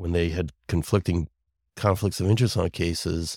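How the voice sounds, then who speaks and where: In a dry, close sound with no echo, a man with a slight New York accent talks with fairly even intonation. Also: very clean recording, silent background. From Brooklyn and Long Island, New York. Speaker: lawyer. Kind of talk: casual chat.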